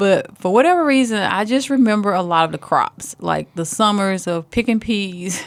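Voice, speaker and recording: A woman with a Southern accent speaks at a medium pitch, her intonation lively. She keeps a moderate pace with hardly any pauses, in a very clean recording with a silent background. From US South, rural Alabama. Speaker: school superintendent. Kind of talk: casual interview.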